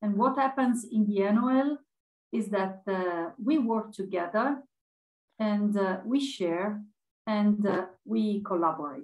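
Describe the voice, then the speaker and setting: A woman talks at a very slow pace, with little more than quiet around her. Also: ordinary pitch variation. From Italy. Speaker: open education community manager and session moderator. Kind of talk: conference presentation. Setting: video call. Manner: animated, laughs often. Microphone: video call.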